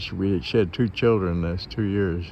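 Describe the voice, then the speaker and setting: A man with an American accent talks in a fairly low pitch. There is audible room echo. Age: 80s+. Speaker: army veteran, hospital patient. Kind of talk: casual vlog commentary. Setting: outdoors at hospital. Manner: halting, repetitive.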